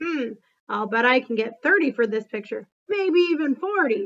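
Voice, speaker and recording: In a put-on character voice, a woman speaks raspy and high-pitched at a moderate pace, her pitch swinging very widely. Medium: read story.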